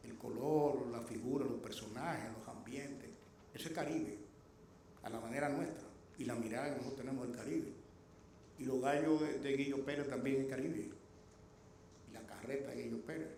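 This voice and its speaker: Through audible room echo, a man talks at a fairly quick pace with ordinary pitch variation and long, frequent pauses. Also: medium pitch for a man. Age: 60s. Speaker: lecturer and anthropologist. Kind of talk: lecture.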